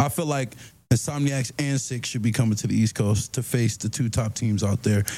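Dark and mellow in tone, the somewhat breathy voice keeps a moderate pace and fairly even intonation on a very clean recording with a silent background. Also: man, medium pitch for a man. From Maryland, US. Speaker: football player. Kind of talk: casual chat. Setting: studio.

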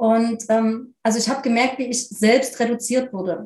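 Somewhat breathy, a woman speaks at a fairly slow pace. Her pitch is fairly high. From eastern Germany, near Leipzig. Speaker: spiritual medium and life coach. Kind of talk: interview.

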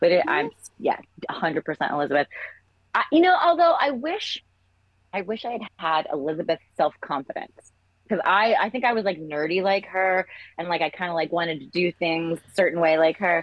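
In an American accent, a woman with an unremarkable speaking voice talks at a moderate pace, her pitch fairly low with ordinary pitch variation. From England until about 10, then US. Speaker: entertainment executive. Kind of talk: casual chat.

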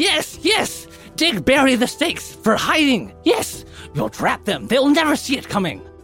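Clear music sits in the background as a shrill, put-on character voice goes at a moderate pace. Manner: excited, scheming.

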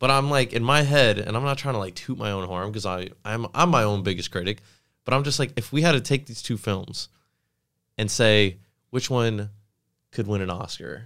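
An ordinary speaking voice from a man at medium pitch, with ordinary pitch variation and a moderate pace, in a very clean recording over a silent background. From Fort Lauderdale, Florida. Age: 20s. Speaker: actor. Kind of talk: casual chat.

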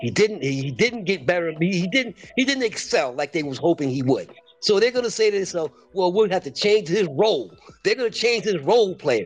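Moving at a fairly quick pace, a man speaks in a high voice with very wide pitch swings. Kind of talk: heated debate. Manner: emphatic, insistent, impassioned.

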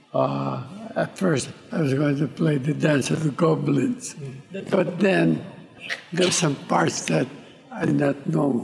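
The speech moves at a very slow pace with lively intonation. Noticeable background noise runs underneath. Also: man, fairly high pitch for a man. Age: 80s+. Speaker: violinist. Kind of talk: interview.

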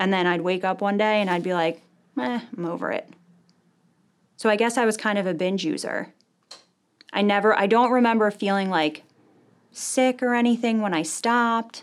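A woman at a medium pitch talks at a moderate pace with ordinary pitch variation, leaving long, frequent pauses. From New Jersey, US. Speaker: recovering addict, nurse. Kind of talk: interview, personal testimony. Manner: hesitant, many fillers.

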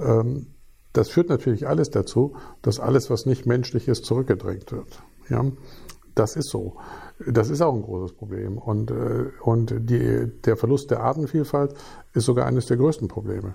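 On a very clean recording with a silent background, a man's medium-pitched voice has vocal fry and a dark, mellow tone, with ordinary pitch variation, a moderate pace, and long, frequent pauses. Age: 50s. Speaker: physics professor. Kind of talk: interview. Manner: hesitant, with many fillers.

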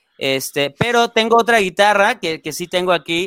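A man talks at a middling speed, his pitch rising and falling in an ordinary way. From Mexico, Salamanca, Guanajuato. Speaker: metal band guitarist. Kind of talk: casual interview. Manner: hesitant, many fillers.

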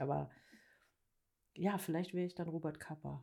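A woman with a dark, mellow tone and vocal fry speaks at a fairly quick pace. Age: 40s. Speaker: editorial photographer. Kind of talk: casual chat.

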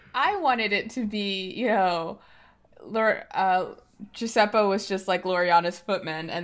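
A woman with an unremarkable speaking voice talks at a medium pitch with ordinary variation, in a very clean recording with a silent background. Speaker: tabletop roleplaying game player. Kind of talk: casual chat.

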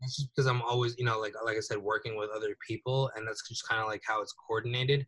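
A bright, sharp tone with fairly even intonation, in a dry, close sound with no echo. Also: man. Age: 20s. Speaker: social media consultant. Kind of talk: interview. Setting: podcast.

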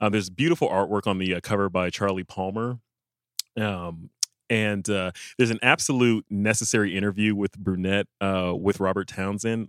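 Recorded very cleanly with a silent background and a dry, close sound with no echo, a man with an American accent and a plain, everyday voice speaks at a fairly quick pace, fairly low in pitch, with fairly even intonation. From Los Angeles suburbs, US West Coast. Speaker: film podcast host. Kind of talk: casual chat; scripted segment intro.

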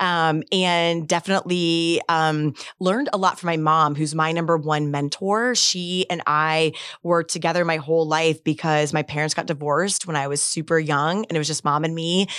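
Here is a woman with an ordinary speaking voice, fairly low in pitch, with an American accent. Her intonation is fairly even and her pace moderate, on a very clean recording with a silent background. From Florida, Gulf Coast (Bradenton). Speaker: state agency head and lawyer. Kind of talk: interview.

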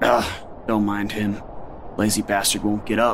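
A man puts on a gruff, mumbling character voice at a fairly low pitch and moderate pace, with clear background noise. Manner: mumbling, irritable.

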